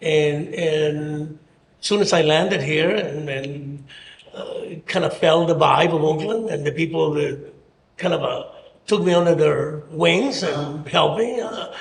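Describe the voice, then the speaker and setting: Audible room echo colors this recording. The delivery is fairly slow, with ordinary pitch variation. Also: man, fairly high pitch for a man. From Mexico City, Mexico. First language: Spanish. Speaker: mayoral candidate. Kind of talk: interview. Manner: halting.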